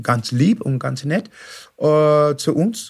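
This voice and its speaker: This man has an English accent and a fairly high pitch. His voice is somewhat breathy. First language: English (speaking German). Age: 60s. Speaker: professional musician, singing show finalist. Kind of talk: interview. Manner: halting.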